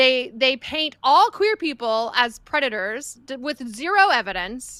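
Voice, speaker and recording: A raised, projected voice with an American accent, a bright, sharp tone, very wide pitch swings and a fairly slow pace, in a very clean recording with a silent background. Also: woman, high pitch for a woman. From Texas. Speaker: podcast co-host. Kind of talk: casual chat. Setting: live stream.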